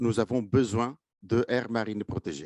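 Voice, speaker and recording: Speaking at a fairly slow pace with a slight Italian accent, a man's medium-pitched voice sounds dry and close with no echo against a quiet background. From Italy. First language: Italian (speaking French). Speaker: marine scientist. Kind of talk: conference presentation. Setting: conference with live and online audience. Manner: hesitant, many fillers.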